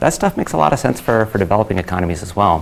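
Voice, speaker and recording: This man has a very deep, low pitch and lively intonation. Noticeable background noise runs underneath. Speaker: conference speaker, company founder. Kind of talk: conference talk. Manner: fast.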